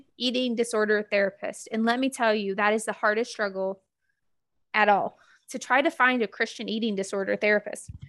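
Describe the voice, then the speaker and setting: A woman with a Mississippi accent speaks at a moderate pace in a fairly high pitch, her tone bright and sharp and her pitch variation ordinary, in a very clean recording with a silent background and a dry, close sound with no echo. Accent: Southern US (Mississippi). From US South, Gulfport, Mississippi. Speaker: podcast co-host. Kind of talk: casual chat.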